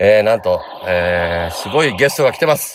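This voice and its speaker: The man talks at a moderate pace, and the recording is very clean with a silent background. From Kanagawa, Japan (Hadano area). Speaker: podcast host, band member. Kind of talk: casual chat. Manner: frequent laughter.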